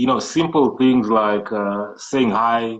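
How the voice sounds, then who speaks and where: With a Kenyan coastal accent, a man speaks in a medium pitch with ordinary pitch variation against a quiet background. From Kenya coast, Malindi. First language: Swahili. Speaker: entrepreneur and IT programmer. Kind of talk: interview. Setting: live social media video call.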